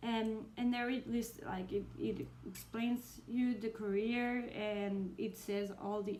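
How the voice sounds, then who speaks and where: Over noticeable background noise, a woman with a Spanish accent speaks fairly slowly at a fairly high pitch with fairly even intonation. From Spain. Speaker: booktuber. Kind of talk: casual vlog. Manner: hesitant, many fillers.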